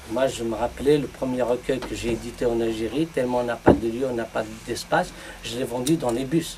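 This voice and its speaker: A man's medium-pitched voice, fairly quick and fairly even in intonation, with noticeable background noise. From Algeria, Kabylie. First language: Kabyle (speaking French). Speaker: poet. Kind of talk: round table discussion. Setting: bookshop with audience. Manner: halting.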